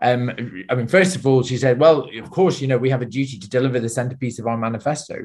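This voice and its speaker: A man of medium pitch talks at a very fast pace with hardly any pauses, somewhat breathy, with ordinary pitch variation and big swings in loudness. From northern England, Lancashire (near Ormskirk). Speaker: party leader, politician. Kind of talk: casual political discussion.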